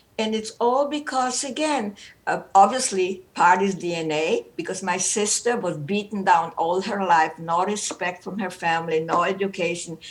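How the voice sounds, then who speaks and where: A woman speaks at a moderate pace with a German accent and hardly any pauses. Her medium-pitched voice has lively intonation. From Romania. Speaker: Holocaust survivor and psychologist. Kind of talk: personal testimony. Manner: animated.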